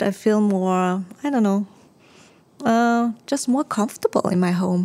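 A woman at a medium pitch, speaking at a very slow pace with ordinary pitch variation. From Austria. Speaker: home organizing consultant. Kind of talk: casual interview. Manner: halting.

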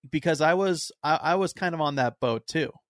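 An unremarkable speaking voice from a man, fairly slow in pace, with ordinary pitch variation. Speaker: podcast host. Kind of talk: casual chat.

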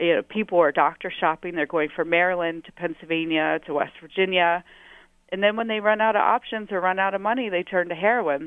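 A woman with a plain, everyday voice talks at a fairly quick pace, her fairly low pitch showing ordinary variation. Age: 30s. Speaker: city councilwoman. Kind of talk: policy interview. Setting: phone call.

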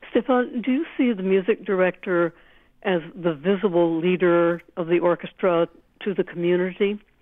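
A woman with a normal speaking voice talks at a moderate pace. Her pitch is medium, with ordinary variation. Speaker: classical music critic. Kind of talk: interview. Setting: phone call.

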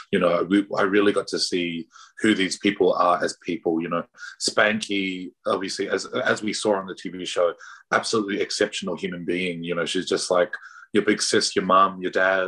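Here a man talks with an Australian accent. His pace is moderate. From Pacific Islander raised in Australia. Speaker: drag performer and artist. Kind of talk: casual interview. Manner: animated.

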